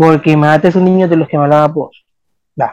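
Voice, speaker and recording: With a Salvadoran accent, a man speaks at a fairly high pitch with ordinary pitch variation. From El Salvador. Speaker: medical student. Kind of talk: interview.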